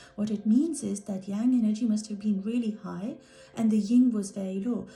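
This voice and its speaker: A woman with a non-native accent has a dark, mellow tone that is somewhat breathy. Her intonation stays fairly even. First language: not English. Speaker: art healer. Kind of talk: workshop talk.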